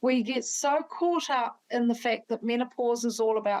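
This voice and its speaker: Speaking at a fairly slow pace, a woman with a New Zealand accent has a fairly high pitch and ordinary pitch variation. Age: 60s. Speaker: doctor. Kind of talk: interview.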